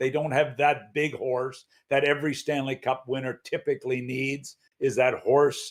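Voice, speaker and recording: Speaking at a moderate pace, the man has a fairly high pitch. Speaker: hockey commentator. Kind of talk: casual sports talk show. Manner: loud.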